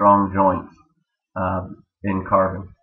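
A man with an American accent speaks at a moderate pace in a fairly low pitch, with audible room echo. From Maryland, US. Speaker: systems engineer. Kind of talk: student presentation. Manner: hesitant, many fillers.

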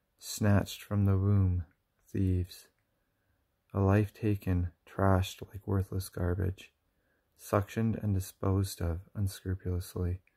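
Against a quiet background, a soft-spoken man with a very deep, low pitch talks at a fairly slow pace in a monotone, somewhat breathy voice with a dark, mellow tone, leaving long, frequent pauses. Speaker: poet reading own work. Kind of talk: poetry reading; casual chat. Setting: at home at night. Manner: halting. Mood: solemn, grieving, accusatory. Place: home room. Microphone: phone near.

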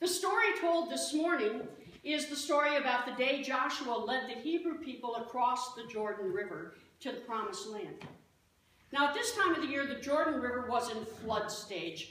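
Lively in intonation, a woman with a high pitch speaks amid audible room echo and light background noise. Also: moderate pace. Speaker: pastor. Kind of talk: sermon. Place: church. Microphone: camera far.

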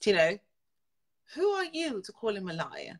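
The background is quiet as a woman talks at a moderate pace with a bright, sharp, animated tone. Her pitch swings very widely. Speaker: social media livestreamer and aspiring politician; political commentator. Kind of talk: casual livestream chat with viewers. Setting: live video stream on Facebook. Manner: animated, laughs often. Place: home room. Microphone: phone near.

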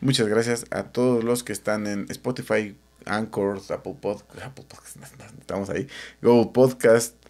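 Fairly even intonation in a Mexican accent against a quiet background. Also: man. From Mexico. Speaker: podcast co-host. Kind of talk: show outro thanks; casual chat. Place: home room. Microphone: studio mic.

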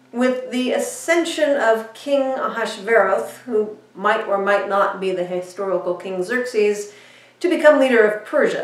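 A woman speaks at a fairly slow pace, with audible room echo around her. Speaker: minister. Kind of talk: sermon storytelling. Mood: warm, lightly humorous. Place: home room.

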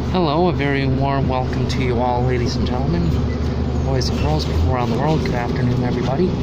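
A man rattles off his words at a very fast pace over loud background noise. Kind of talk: casual vlog chat. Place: bus.

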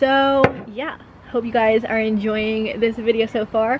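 A woman's monotone, flat delivery at a moderate pace over light background noise. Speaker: lifestyle vlogger. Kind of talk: casual vlog chat. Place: garden. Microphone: camera far.

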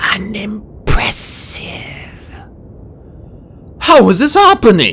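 Quiet, raspy and creaky, a man uses a put-on character voice at a high pitch and a very slow pace. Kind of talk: read story. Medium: read story. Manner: quiet, eerie.

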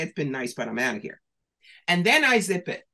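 A woman speaks animatedly at a moderate pace, her fairly low voice bright and sharp with a New York accent. Her pitch swings very widely against a quiet background. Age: 60s. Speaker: professional psychic and author. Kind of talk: interview. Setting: video call. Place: home room. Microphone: webcam.

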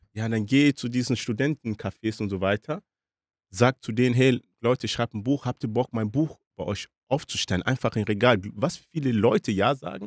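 Keeping a moderate pace, a man talks in a medium pitch and varies it in an ordinary way. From DR Congo. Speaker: author. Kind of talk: casual interview. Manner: hesitant with many fillers.

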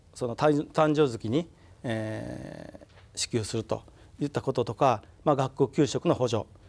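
Speaking at a fairly slow pace, a man uses ordinary pitch variation and vocal fry. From Mie, Japan; Japan. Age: 60s. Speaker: town mayor. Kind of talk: studio interview. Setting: studio. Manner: halting. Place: studio. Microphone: lapel.

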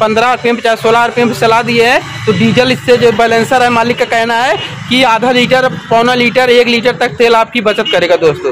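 Speech at a moderate pace shows ordinary pitch variation, with noticeable background noise behind it. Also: man, extremely high pitch for a man. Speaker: vlogger presenting a machine. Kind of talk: casual vlog product demo. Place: street. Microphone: phone near.

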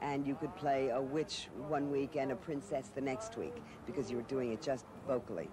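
A woman talks fairly quickly with an American accent. The sound is dry with no echo, but background noise is noticeable. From Brooklyn, New York. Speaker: actress. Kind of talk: interview answer. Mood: warm, reminiscing. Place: street.

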